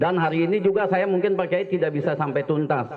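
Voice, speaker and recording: Noticeable background noise fills the recording. A man talks with ordinary pitch variation. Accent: slight Jakarta. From Jakarta, Betawi (Cengkareng). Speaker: army officer. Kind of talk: speech at community event. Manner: halting.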